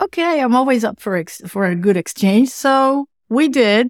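A woman with a Dutch accent and ordinary pitch variation, in dry, close sound with no echo on a very clean recording with a silent background. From Netherlands. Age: middle-aged. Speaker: web accessibility consultant. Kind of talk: interview. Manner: animated.

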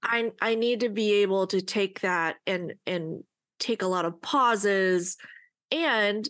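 Against a quiet background, a woman in an ordinary speaking voice talks at a medium pitch with ordinary pitch variation. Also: very even loudness. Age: 30s. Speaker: podcast co-host, adoptee. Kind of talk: casual chat.

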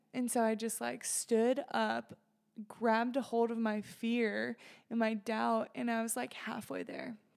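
At a fairly slow pace, the speaker uses a plain, everyday voice with fairly even intonation. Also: woman, fairly high pitch for a woman. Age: 20s. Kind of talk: casual chat.

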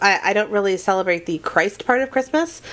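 This woman has a normal speaking voice at a medium pitch. Her intonation is lively. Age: 30s. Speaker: podcast co-host. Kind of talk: casual chat.

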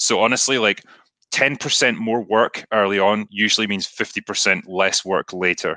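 A man with a Scottish accent, fairly low pitch, fairly even intonation and a moderate pace, in a dry, close sound with no echo. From Scotland. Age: 30s. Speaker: author and YouTuber. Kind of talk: casual interview.

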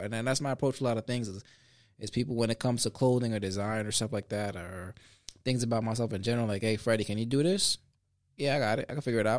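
Very fast speech with fairly even intonation in a very clean recording over a silent background. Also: man. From US, Sanford area (Connecticut Avenue), Puerto Rican family. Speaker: motivational speaker and podcaster. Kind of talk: casual interview. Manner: halting, many fillers and repetitions.

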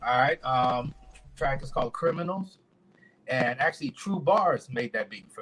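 With an ordinary speaking voice, a man at a fairly high pitch talks at a moderate pace, his intonation lively and his loudness swinging widely. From US Virgin Islands (St. Thomas), raised in Orlando, Florida. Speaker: independent rapper. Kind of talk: podcast interview.

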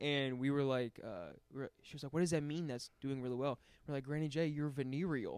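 This man talks fairly quickly in a fairly high voice, his intonation fairly even. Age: 20s. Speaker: stand-up comedian. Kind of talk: casual chat. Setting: studio.

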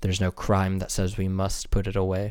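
This man's voice sits fairly low. He talks with an American accent. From US Midwest. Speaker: political candidate. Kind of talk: solo monologue podcast.

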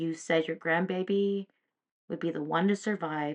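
Over a quiet background, a woman with an ordinary speaking voice and fairly low pitch talks at a fairly slow pace with ordinary pitch variation. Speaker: podcast host and psychic medium. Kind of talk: open letter read aloud as a heartfelt dedication to a late grandmother. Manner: earnest, emotional, tender.

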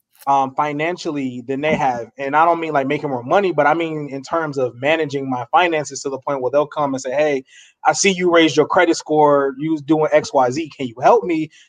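Using an ordinary speaking voice, a man talks at a fairly high pitch with ordinary pitch variation. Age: 30s. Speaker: podcast panelist. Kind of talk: casual chat.

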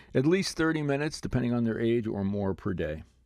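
In a plain, everyday voice, a man speaks with a Canadian accent at a medium pitch. His pace is moderate, and the background is quiet. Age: 60s. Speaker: parenting podcast host. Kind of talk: advice podcast monologue.

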